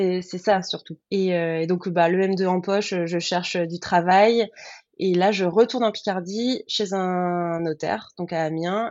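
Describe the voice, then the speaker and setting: A woman speaks at a very slow pace in a medium pitch, her intonation fairly even. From Picardy, France (Baie de Somme, countryside). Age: 30s. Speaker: former lawyer turned freelance florist. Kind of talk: interview testimony.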